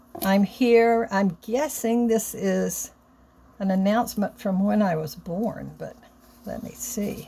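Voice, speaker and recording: At a very slow pace, a woman speaks at a medium pitch, somewhat breathy and with a dark, mellow tone. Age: 70s. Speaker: vlogger opening a birthday gift. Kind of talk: casual vlog, reading cards aloud.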